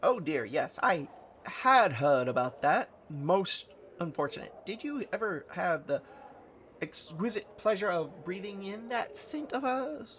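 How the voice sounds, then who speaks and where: A put-on character voice at a middle pitch, fairly slow, with very wide pitch swings. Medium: solo performance.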